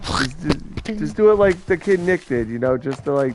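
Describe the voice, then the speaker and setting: Over noticeable background noise, a man talks with a fairly high pitch and very wide pitch swings. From New York. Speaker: gamer streaming with friends. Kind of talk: casual chat during online gaming.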